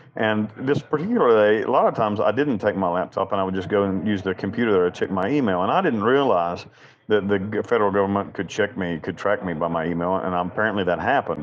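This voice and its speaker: In a Southern US accent, a man talks at a very fast pace with ordinary pitch variation. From US South, western North Carolina. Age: 40s. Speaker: prison inmate and chaplain. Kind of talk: interview.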